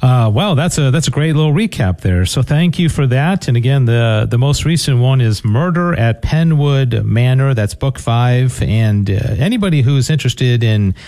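Speech with lively intonation moves at a moderate pace over noticeable background noise. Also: man. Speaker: radio host. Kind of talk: radio interview. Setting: studio.

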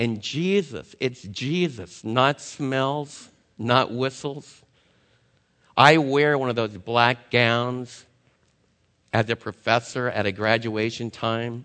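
Here a man of medium pitch speaks very slowly with an American accent and ordinary pitch variation. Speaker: Bible teacher. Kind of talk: sermon. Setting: stage with audience. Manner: loud.

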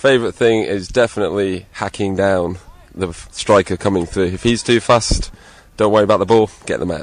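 A man with an English accent talks at a fairly quick pace. His fairly low voice keeps fairly even intonation. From England. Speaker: amateur footballer. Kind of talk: street interview.

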